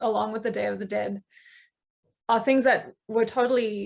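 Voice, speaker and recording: A woman with a South African accent speaks at a moderate pace in a fairly high voice. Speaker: coven member, witch. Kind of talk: panel discussion.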